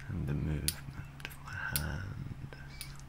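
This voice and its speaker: A man speaks at a very slow pace amid loud background noise. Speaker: ASMR artist. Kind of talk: ASMR relaxation talk for sleep. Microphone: studio mic.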